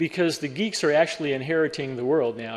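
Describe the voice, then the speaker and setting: A man's unremarkable speaking voice with an American accent, fairly high in pitch, with ordinary pitch variation. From Western Pennsylvania, Pittsburgh. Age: 60s. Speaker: cybersecurity speaker. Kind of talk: keynote talk.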